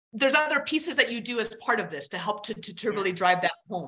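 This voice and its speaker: The voice has a bright, sharp tone and very wide pitch swings at a fairly quick pace. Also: woman, big swings in loudness. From Alaska. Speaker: keynote speaker, author and former army helicopter pilot. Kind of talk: casual interview.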